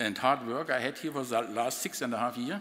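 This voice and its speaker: A man speaks in a German accent at a medium pitch. Noticeable background noise is present. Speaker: outgoing university president. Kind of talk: farewell speech. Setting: reception with audience.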